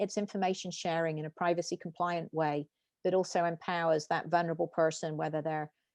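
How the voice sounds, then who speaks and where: A woman's fairly low-pitched voice at a fairly quick pace with fairly even intonation, dry and close with no echo over a quiet background. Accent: British. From UK. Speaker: tech company founder and CEO. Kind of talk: interview.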